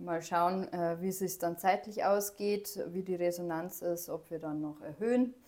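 Speaking at a fairly slow pace, a woman has a normal speaking voice with fairly low pitch and ordinary pitch variation. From Upper Bavaria, Germany. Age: 30s. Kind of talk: casual chat.

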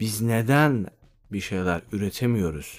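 With music in the background, a man talks at a very slow pace in a fairly low pitch with lively intonation. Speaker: podcaster. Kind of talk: solo monologue.

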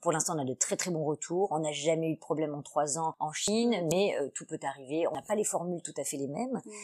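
A woman's very deep, low voice at a fairly quick pace with hardly any pauses and ordinary pitch variation, the sound dry and close with no echo. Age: 40s. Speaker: entrepreneur. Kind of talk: interview.

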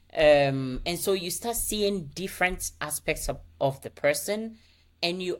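A woman speaks at a fairly slow pace with an American accent. Her pitch sits fairly low, and her intonation is lively. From Ghana. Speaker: marriage coach. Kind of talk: interview. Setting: remote call from Copenhagen.

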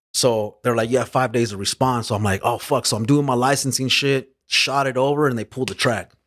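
A man with an American accent, medium pitch and a fairly quick pace. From Los Angeles area, California. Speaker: rapper. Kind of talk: casual chat.

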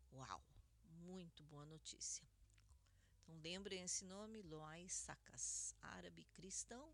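A woman speaks at a very slow pace. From Brazil, Curitiba, Paraná. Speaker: radio host. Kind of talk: news commentary radio show. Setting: studio, live radio broadcast.

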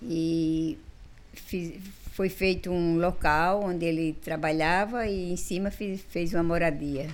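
A woman's fairly low voice, very slow and fairly even in intonation, with audible room echo. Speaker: community health group founder. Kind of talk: interview.

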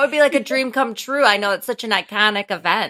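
A woman with a Wisconsin accent talks at a fairly quick pace in a bright, sharp tone. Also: dry, close sound with no echo, very clean recording, silent background. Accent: Wisconsin Midwestern American. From Wisconsin, US. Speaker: podcast host. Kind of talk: interview chat.

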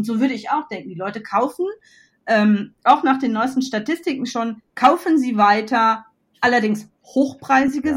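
With an animated tone, a woman talks at a moderate pace in a high pitch. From Westphalia, Germany. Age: 40s. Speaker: entrepreneur. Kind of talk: interview. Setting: at home with her dog.

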